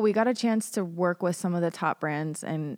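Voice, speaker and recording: A woman with an ordinary speaking voice and a fairly low pitch talks at a moderate pace with ordinary pitch variation, on a very clean recording with a silent background. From US, Colorado. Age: 30s. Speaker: tech industry writer. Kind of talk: podcast interview. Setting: studio.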